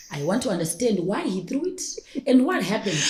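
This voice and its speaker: A woman talks at a fairly quick pace in a somewhat breathy voice with very wide pitch swings. Audible room echo comes through. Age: 30s. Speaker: personal stylist and entrepreneur. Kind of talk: podcast interview. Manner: fast.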